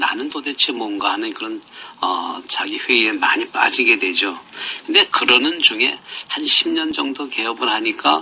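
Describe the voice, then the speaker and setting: A man talks at a moderate speed, with background noise clearly audible. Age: 60s. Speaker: rural doctor. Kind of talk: radio interview. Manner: halting.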